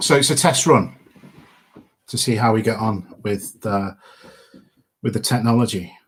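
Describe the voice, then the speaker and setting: Someone with a Midlands accent speaks at a moderate pace, with ordinary pitch variation and long, frequent pauses. The voice is somewhat breathy. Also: man, medium pitch for a man. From English Midlands. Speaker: podcaster and wargames miniature painter. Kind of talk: live stream Q&A chat. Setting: live stream. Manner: casual, with fillers.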